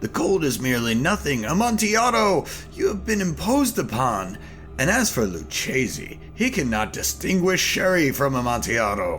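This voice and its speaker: At a moderate pace, a man puts on a character voice. Clear music can be heard behind him. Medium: read story. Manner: excitable, boastful.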